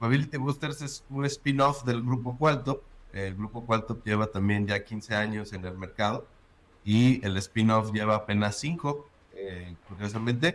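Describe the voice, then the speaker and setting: In a central Mexican accent, a man speaks at a fairly slow pace with ordinary pitch variation. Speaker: agile consultant. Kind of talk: casual interview.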